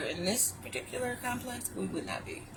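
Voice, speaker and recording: Noticeable background noise sits behind a woman talking in an American accent. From Ohio. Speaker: vlogger. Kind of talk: casual chat. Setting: in a car.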